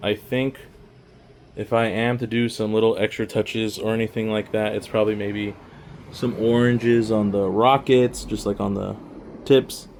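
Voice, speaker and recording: The voice is monotone, with flat intonation, at a moderate pace. Background noise is noticeable. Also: man, medium pitch for a man. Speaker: miniature painting hobbyist YouTuber. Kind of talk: casual showcase walkthrough. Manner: casual, filler-heavy; quiet.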